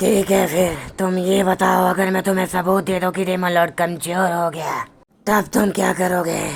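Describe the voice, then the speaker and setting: This put-on character voice sounds female and raspy, sitting at a middle pitch. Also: moderate pace. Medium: read story. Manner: conspiratorial.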